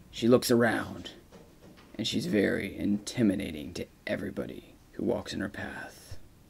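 Lively intonation, vocal fry, and big swings in loudness color this man's fairly low-pitched voice. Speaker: narrator of a mock cat documentary. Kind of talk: mock nature documentary voiceover about a pet cat. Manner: slow, measured, with repeated emphasis on words like very.

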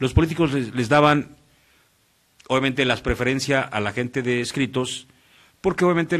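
A man at a fairly quick pace, with fairly even intonation, against a quiet background. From Mexico, Morelos; Mexico. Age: 40s. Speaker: radio announcer. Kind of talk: casual interview chat. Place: studio. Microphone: studio mic.

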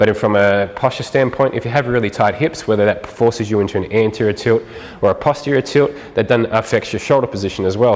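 A man's fairly low voice at a very fast pace, with ordinary pitch variation. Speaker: fitness trainer. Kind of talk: tutorial. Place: gym.

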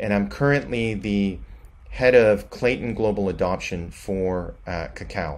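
This man's voice sits fairly low. His intonation is lively. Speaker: guest. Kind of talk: prepared remote presentation. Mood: friendly, congratulatory. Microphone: webcam.

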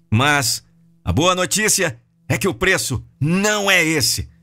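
The speech moves at a very slow pace with very wide pitch swings and very even loudness, while music plays in the background. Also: man. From Brazil. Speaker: professional voice-over narrator. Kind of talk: video sales letter narration. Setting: studio. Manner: emphatic, persuasive, high-impact. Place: studio. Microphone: studio mic.

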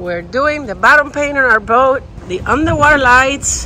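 The recording is dry with no echo, has light background noise, and the speech comes at a fairly slow pace. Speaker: boat owner vlogger. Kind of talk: casual vlog chat. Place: street. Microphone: phone near.

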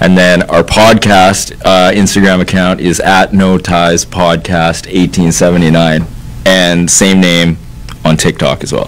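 A man with a Canadian accent, very deep, low pitch and a very slow pace. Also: fairly even intonation. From Canada, Ladner, British Columbia; British Columbia. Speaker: podcaster. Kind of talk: casual chat. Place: studio. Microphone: studio mic.

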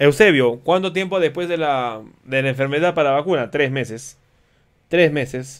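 Against a quiet background, a man with a fairly high pitch speaks at a moderate pace in a normal speaking voice. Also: ordinary pitch variation. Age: 40s. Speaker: physician giving health education. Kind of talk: educational livestream lecture with viewer Q&A. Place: home room.

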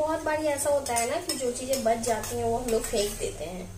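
Over clear background noise, a woman with a fairly high pitch talks at a fairly quick pace with ordinary pitch variation.

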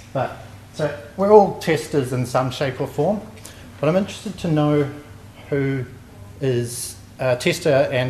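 A man with a New Zealand accent and fairly high pitch speaks at a fairly slow pace with ordinary pitch variation, amid light background noise and audible room echo. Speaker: software testing engineer; conference presenter. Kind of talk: conference talk. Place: hall. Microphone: handheld.

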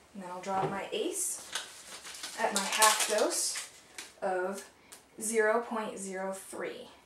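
Loud background noise and audible room echo fill the clip. A woman speaks at a very slow pace. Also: ordinary pitch variation. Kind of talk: tutorial. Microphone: camera far.

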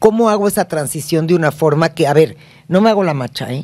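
A woman's dark, mellow voice, fairly low in pitch, with very wide pitch swings. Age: 60s. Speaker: family therapist; guest. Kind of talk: casual chat. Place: studio. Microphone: studio mic.

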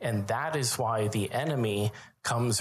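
A man's voice at a fairly slow pace, with ordinary pitch variation and light background noise. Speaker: preacher. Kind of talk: sermon. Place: church. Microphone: handheld.

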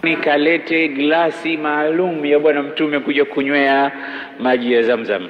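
Light background noise is audible. A man speaks at a moderate pace. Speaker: religious preacher. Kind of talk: sermon. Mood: warm, smiling. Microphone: handheld.

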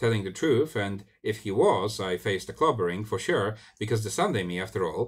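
The voice reads plainly aloud, its intonation lively.

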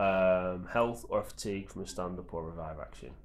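A man's low-pitched voice at a moderate pace, with audible room echo

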